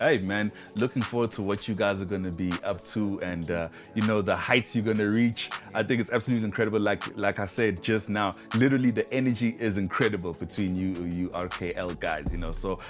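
Clear music plays in the background as a man talks at a fairly quick pace. His voice is fairly low with ordinary pitch variation. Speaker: talk show host. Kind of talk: interview hosting. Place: studio. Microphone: lapel.

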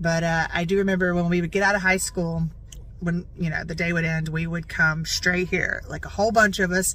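A woman speaks in a flat monotone at a fairly quick pace. Her pitch is fairly low, and the sound is dry with no echo. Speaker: vlogger. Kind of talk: casual vlog chat. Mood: playful, joking. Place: car. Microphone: phone near.

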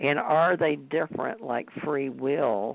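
A man speaks at a very slow pace. The sound is dry, with no echo. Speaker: podcast co-host. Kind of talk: casual talk show chat. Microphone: video call.

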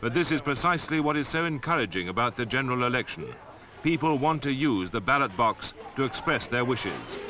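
A man with an English accent, medium in pitch, at a fairly quick pace with ordinary pitch variation. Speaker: narrator. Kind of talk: public information film narration.

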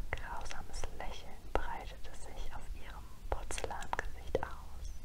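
Noticeable background noise surrounds a woman who is whispering. She speaks at a very slow pace. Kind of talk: ASMR story reading. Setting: close-up microphone, candlelit room. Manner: whispered, soft.

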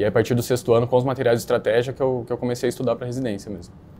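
His voice sits at a medium pitch for a man. The tone is dark and mellow. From São Paulo state interior, Brazil (Capivari). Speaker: newly qualified doctor, medical residency candidate. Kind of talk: interview answers. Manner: hesitant, many filler words.

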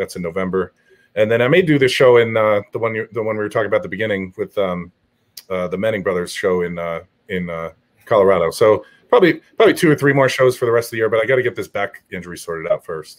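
This man's delivery is very fast. Intonation moves in a lively way. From New Jersey (Morris County); New Jersey. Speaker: strongman athlete; guest. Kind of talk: casual chat. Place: home room.

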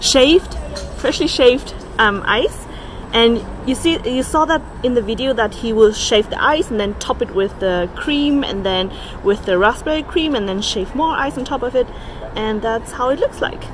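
A woman with a high pitch speaks with lively intonation over light background noise. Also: moderate pace. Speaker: food vlogger. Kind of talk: casual vlog chat. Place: street. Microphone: phone near.

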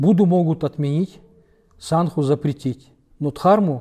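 A man's somewhat breathy, dark, mellow voice in a Kalmyk accent, with ordinary pitch variation, a fairly slow pace and a quiet background. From Kalmykia, Russia. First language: Kalmyk (speaking Russian). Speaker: publisher of Buddhist literature; interviewee. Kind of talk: interview conversation. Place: hall. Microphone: lapel.

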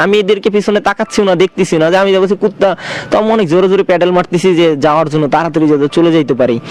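Noticeable background noise sits behind a man's high voice, which has very even loudness, ordinary pitch variation, and a dry, close sound with no echo. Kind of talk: personal ghost experience told to radio show. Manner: casual, hesitant.

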